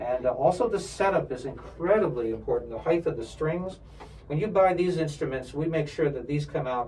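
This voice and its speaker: A man with an American accent speaks with audible room echo and music in the background. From New York area. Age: 60s. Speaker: violin instructor and professional string player. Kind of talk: product demonstration. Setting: music store.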